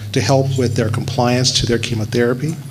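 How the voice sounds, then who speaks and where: A man with an American accent speaks at a medium pitch. Noticeable background noise and audible room echo surround his voice. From US South, Alabama. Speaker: physician and epidemiologist. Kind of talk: speech at launch event.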